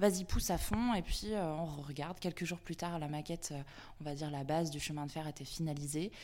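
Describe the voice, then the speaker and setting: Her pitch very deep and low, a woman speaks at a fairly quick pace with ordinary pitch variation in a very clean recording with a silent background. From Brittany, France (Vannes). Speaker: freelance art director. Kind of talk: interview.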